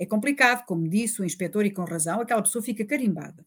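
The recording is very clean, with a silent background. A woman speaks in a somewhat breathy voice. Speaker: forensic doctor. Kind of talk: interview.

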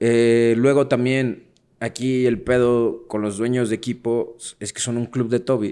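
A man's medium-pitched voice, dark and mellow, with monotone, flat intonation at a fairly slow pace. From Mexico City. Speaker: podcast co-host. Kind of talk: casual chat.

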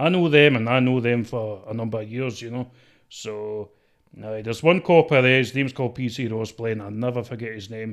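A man with a strong Scottish accent at a fairly quick pace, medium pitch, ordinary pitch variation and big swings in loudness. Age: 20s. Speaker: TikTok personality. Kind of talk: casual chat.

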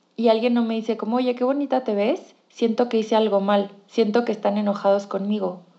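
The tone is dark and mellow, the pace moderate and the pitch variation ordinary. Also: woman. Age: 20s. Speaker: clinical psychologist and podcast host. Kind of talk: casual monologue.

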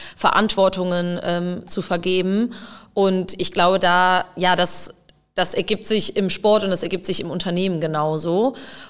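Speaking at a fairly slow pace, a woman keeps a medium pitch and a monotone, flat intonation. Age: 20s. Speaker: field hockey player and psychologist. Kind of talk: casual interview conversation.

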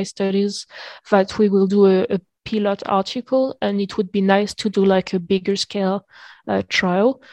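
A woman speaks in a French accent with monotone, flat intonation. Her pace is moderate, and the sound is dry and close with no echo. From Reunion Island. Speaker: neuroscience PhD student. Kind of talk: casual interview. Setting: video call. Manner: halting.

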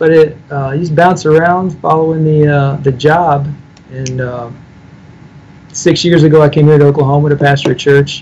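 A man with an American accent talks at a moderate pace and a fairly high pitch. His voice is somewhat breathy, with monotone, flat intonation. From US Midwest, Illinois. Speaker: pastor. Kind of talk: theological debate.

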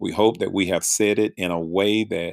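A man with an American accent talks at a fairly slow pace with ordinary pitch variation. The sound is dry and close with no echo, very clean, with a silent background. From North Carolina. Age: 50s. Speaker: podcast host and pastor.

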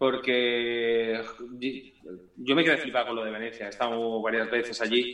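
Moderate pace and medium pitch from a male speaker, against noticeable background noise. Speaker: punk-ska band singer. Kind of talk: casual interview.

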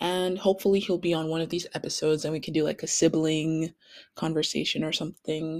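A woman with a Canadian accent speaks at a moderate pace on a very clean recording with a silent background. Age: 20s. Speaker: podcast host. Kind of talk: casual monologue.

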